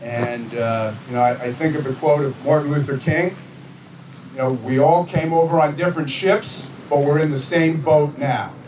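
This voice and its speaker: Fairly high in pitch for a man, with ordinary variation, a man talks at a moderate pace over noticeable background noise. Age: 70s. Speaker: elected official, assemblyman. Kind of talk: dedication speech. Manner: halting, many fillers and restarts.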